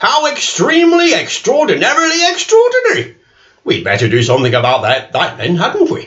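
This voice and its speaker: He puts on a character voice at an extremely high pitch. The man's pace is fairly quick. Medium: read story. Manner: brisk, fussy.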